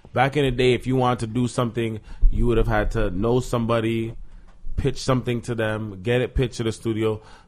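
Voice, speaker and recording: Speaking at a very fast pace, a man talks with a medium pitch. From Toronto, Canada. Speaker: actor and podcast guest. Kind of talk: casual chat.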